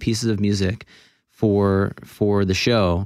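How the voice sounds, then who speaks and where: Here is a man with an unremarkable speaking voice and an American accent. His pitch is fairly low, his intonation fairly even, and the recording very clean with a silent background. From Florida, US. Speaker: film composer and conductor. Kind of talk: radio interview. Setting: radio studio.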